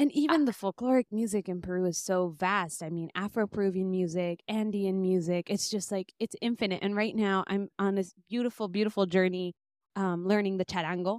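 A woman with an American accent and a normal speaking voice talks at a fairly quick pace with medium pitch and ordinary pitch variation, in a dry, close, echo-free, very clean recording with a silent background. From US, Bay Area, northern California. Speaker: musician and music teacher. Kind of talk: interview.

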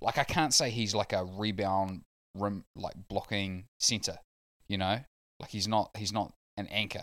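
On a very clean recording with a silent background, a man with a New Zealand accent speaks at a moderate pace, his pitch fairly low and intonation fairly even. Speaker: basketball podcast panelist. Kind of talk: casual chat.

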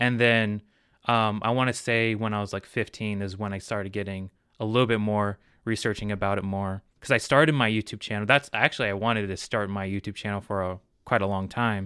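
In a very clean recording with a silent background, a man speaks with a bright, sharp tone. His pace is fairly quick and his intonation fairly even. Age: 20s. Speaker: filmmaker and YouTuber. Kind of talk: casual chat.

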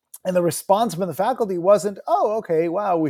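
A man's dark, mellow tone with an American accent at a fairly quick pace, in a very clean recording with a silent background. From New Jersey. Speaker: university founder and chief executive. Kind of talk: interview.

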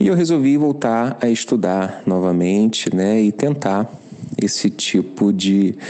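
A man talks at a very slow pace in a fairly low pitch with lively intonation. Noticeable background noise runs underneath. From Rio de Janeiro, Brazil. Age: 50s. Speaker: listener sharing experience. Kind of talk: recorded voice message testimony.

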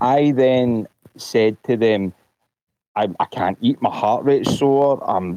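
A man with a Glaswegian accent speaks at a fairly slow pace with ordinary pitch variation. The sound is dry and close, with no echo. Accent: Glaswegian Scottish. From Scotland, Glasgow. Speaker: caller, vaccine-injured patient. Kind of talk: testimony. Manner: halting.

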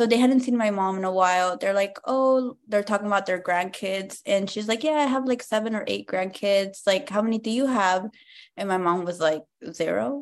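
A woman with an ordinary speaking voice, medium pitch, a moderate pace and an American accent, against a quiet background. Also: ordinary pitch variation. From Compton, California. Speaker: stand-up comedian. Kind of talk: casual interview chat.

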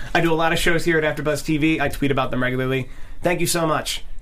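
A man with an American accent talks at a fairly high pitch with ordinary pitch variation, over noticeable background noise and audible room echo. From Philadelphia, US. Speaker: podcast host. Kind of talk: casual chat.

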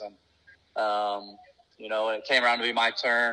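Flat, monotone intonation marks this speaker, who has a US Midwestern accent. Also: man. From Indiana, US Midwest. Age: 20s. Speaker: race car driver. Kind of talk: casual interview.

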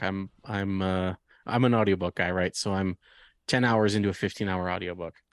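Very deep, low-pitched man in a monotone, flat intonation, with a dry, close sound, no echo and a quiet background. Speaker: podcast co-host. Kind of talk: casual chat. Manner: jokey, laughs often.

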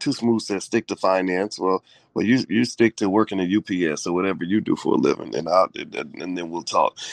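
In a dry, close sound with no echo, a man talks at a fairly quick pace with a low pitch and vocal fry. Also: ordinary pitch variation.

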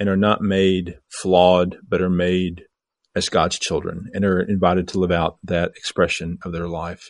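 With a very deep, low pitch, a man speaks at a moderate pace against a quiet background. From US Midwest, southeast Missouri. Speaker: bishop. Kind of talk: casual conversation.

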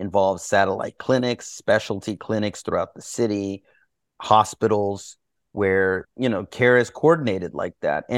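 In a plain, everyday voice, a man with an American accent speaks at a fairly low pitch and moderate pace, on a very clean recording with a silent background and a dry, close sound with no echo. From Texas, Houston. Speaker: doctor and writer. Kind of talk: interview conversation.

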